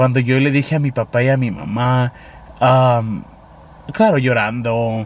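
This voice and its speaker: A man speaks with fairly even intonation. The sound is dry with no echo, over light background noise. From Arizona, US (Tolleson), Mexican-American family. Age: 20s. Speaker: YouTube vlogger. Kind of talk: casual vlog monologue, code-switching English and Spanish. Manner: hesitant, many fillers. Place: car. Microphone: phone near.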